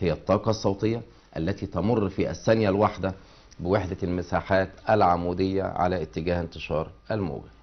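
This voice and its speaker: Intonation here is fairly even. The pace stays moderate. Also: man, very deep, low pitch for a man. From Egypt. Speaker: physics teacher. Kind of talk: lecture. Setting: TV studio. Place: studio. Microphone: lapel.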